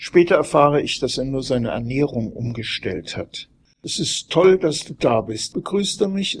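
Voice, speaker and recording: Somewhat breathy, a man with a fairly high pitch speaks at a fairly slow pace with lively intonation. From Frankfurt area, Germany. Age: old. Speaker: journalist and author. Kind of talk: reading aloud.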